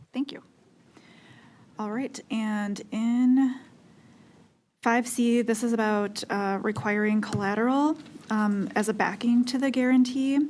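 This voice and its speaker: The speech moves at a fairly slow pace with fairly even intonation and long, frequent pauses. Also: woman, fairly high pitch for a woman. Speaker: utility regulatory commissioner. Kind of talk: regulatory commission deliberation. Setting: public meeting. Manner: slow, deliberate; hesitant, many fillers.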